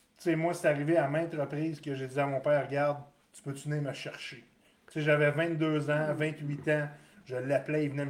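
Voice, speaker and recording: A man with a Quebec accent speaks at a fairly quick pace in a fairly high voice, his loudness swinging widely. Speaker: podcast host. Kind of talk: casual chat.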